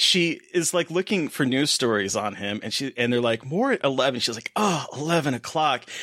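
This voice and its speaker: An ordinary speaking voice with lively intonation, moderate pace and hardly any pauses, in a very clean recording with a silent background. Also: man, fairly high pitch for a man. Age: 40s. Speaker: podcast co-host. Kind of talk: casual chat.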